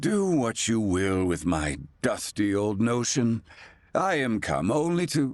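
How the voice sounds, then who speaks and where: Using a put-on character voice, a medium-pitched man speaks fairly slowly with very wide pitch swings. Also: quiet background. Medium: video game. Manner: curt, archaic phrasing.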